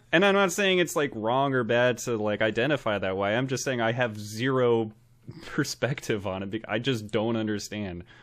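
Speaking at a moderate pace over a quiet background, a man has an ordinary speaking voice, a medium pitch and ordinary pitch variation. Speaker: podcast co-host. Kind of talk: casual comedic chat, movie podcast. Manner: joking, laughs often, rambling.

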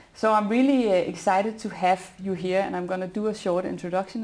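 At a medium pitch, a woman talks in a plain, everyday voice with fairly even intonation. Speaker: podcast host. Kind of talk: interview conversation.

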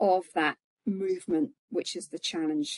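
An unremarkable speaking voice from a woman, medium in pitch with lively intonation and a fairly slow pace, in a dry, close sound with no echo. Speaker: banking operations executive panelist. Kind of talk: panel discussion.

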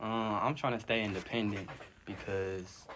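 The speech has fairly even intonation, and noticeable background noise runs behind it. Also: man. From Detroit. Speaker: rapper. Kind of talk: interview answers.

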